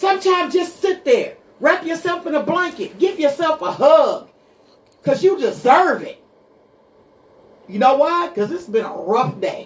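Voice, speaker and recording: Animated and at a fairly slow pace, a woman speaks at an extremely high pitch with very wide pitch swings, big swings in loudness, and long, frequent pauses. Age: 60s. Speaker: radio show guest, host's mother. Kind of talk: casual chat.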